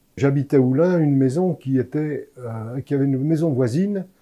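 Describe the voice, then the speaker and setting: This man's voice has a dark, mellow tone. His pace is fairly slow. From France, Lyon (Croix-Rousse). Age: 80s+. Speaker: former association volunteer. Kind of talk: interview testimony. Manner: halting.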